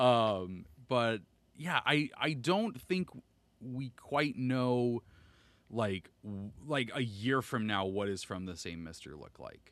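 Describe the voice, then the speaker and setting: A man talks at a very slow pace with lively intonation and a medium pitch. The recording is very clean, with a silent background. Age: 30s. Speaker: podcaster and content creator. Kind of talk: casual interview chat. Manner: animated.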